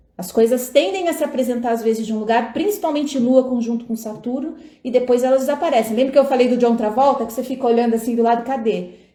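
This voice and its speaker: A woman's high-pitched voice at a very fast pace with hardly any pauses, ordinary pitch variation, and noticeable background noise. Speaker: tarot reader and astrologer. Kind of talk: live stream talk with viewers. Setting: live stream at home. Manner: casual, chatty.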